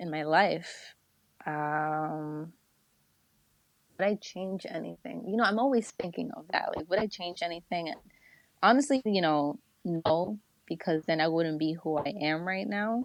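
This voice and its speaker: Someone with a New Jersey accent speaks at a fairly slow pace with lively intonation and long, frequent pauses. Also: woman, fairly low pitch for a woman. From New Jersey, US. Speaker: media platform founder. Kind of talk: casual interview chat. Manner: casual, filler-heavy.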